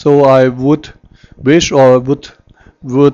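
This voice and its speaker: With a non-native accent, a man speaks in a dark, mellow tone at a medium pitch. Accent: non-native English speaker. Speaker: forex market analyst. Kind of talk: tutorial. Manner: halting.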